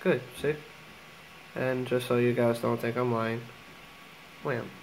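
A man speaks at a medium pitch in a monotone, flat delivery. Background noise is noticeable throughout. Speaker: video maker. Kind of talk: tutorial. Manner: casual, filler words.

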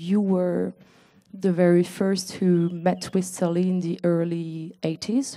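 Against a quiet background, a woman with a French accent speaks in a dark, mellow tone at a fairly low pitch, her intonation monotone and flat. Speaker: exhibition curator and moderator; moderator. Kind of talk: formal introduction. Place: garden. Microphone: handheld.

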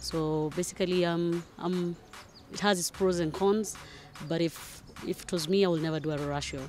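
A woman speaks at a moderate pace with fairly even intonation and a slightly mellow tone. Faint background noise sits behind her. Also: fairly low pitch for a woman.

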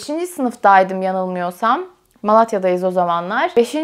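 Against a quiet background, a woman speaks with very wide pitch swings. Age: 20s. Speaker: YouTuber. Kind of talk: casual vlog chat. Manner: frequent laughter. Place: home room.

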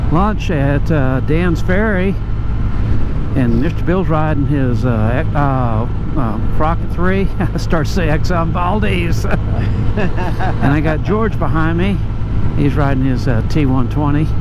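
A man talks at a very slow pace with long, frequent pauses. The sound is dry with no echo, under loud background noise. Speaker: motorcycle vlogger. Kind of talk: casual vlog chat. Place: motorbike. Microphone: helmet.

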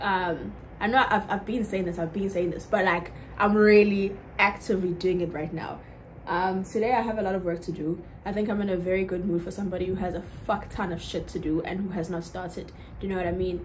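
Against light background noise, a woman speaks very fast in a somewhat breathy, monotone, flat voice. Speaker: vlogger. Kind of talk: casual vlog chat. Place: home room.

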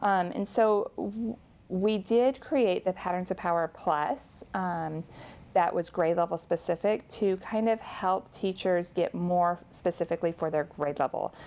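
A woman's unremarkable speaking voice, medium in pitch with ordinary pitch variation, on a very clean recording against a silent background. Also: fairly slow pace. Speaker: author and educator. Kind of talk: interview about teaching grammar.

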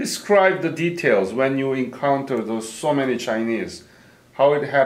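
Noticeable background noise accompanies a man talking at a moderate pace, with a medium pitch and ordinary pitch variation. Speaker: interviewer. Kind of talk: oral history interview.

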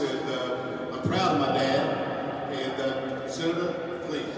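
Strong room echo fills the recording, along with noticeable background noise. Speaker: cannabis advocate, rally organizer. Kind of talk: rally introduction. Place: hall.

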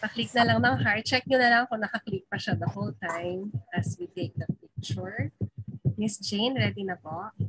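At a moderate pace, a woman talks at a medium pitch with very wide swings, over light background noise. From Philippines. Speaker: webinar emcee. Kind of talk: event emceeing. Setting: video call. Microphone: video call.

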